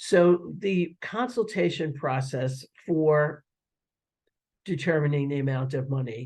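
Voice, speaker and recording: A man speaks very slowly in a fairly high, somewhat breathy voice with lively intonation. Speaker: webinar presenter on federal education programs. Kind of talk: webinar presentation. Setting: online webinar. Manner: halting, many fillers.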